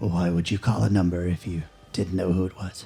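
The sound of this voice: A gruff, put-on character voice from a man, very deep and low in pitch, fairly quick, with fairly even intonation and faint music in the background.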